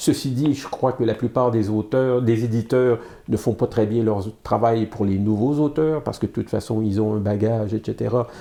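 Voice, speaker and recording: The voice has a dark, mellow tone and fairly even intonation, moving at a moderate pace over a quiet background. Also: man, medium pitch for a man. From Quebec, Montreal. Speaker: comic book artist and publisher. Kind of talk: interview. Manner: halting, many fillers and repetitions.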